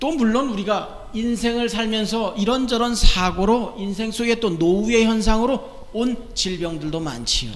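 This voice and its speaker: Loud and high-pitched, a man talks at a fairly slow pace with hardly any pauses. His pitch varies in an ordinary way, and noticeable background noise is present. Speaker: pastor. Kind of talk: sermon.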